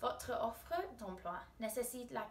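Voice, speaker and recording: A woman with an English accent is heard over noticeable background noise, her voice carrying an audible room echo. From England. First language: English (speaking French). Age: 20s. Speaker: university student. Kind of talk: recorded self-presentation for a class, like a job application. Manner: formal.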